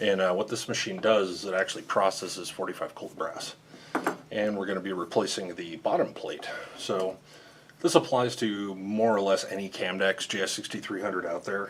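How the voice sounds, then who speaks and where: Fairly low-pitched male voice with noticeable background noise. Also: ordinary pitch variation, moderate pace. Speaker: ammunition machinery builder and repair technician. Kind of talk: tutorial. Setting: customer's factory site. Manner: kept a little low.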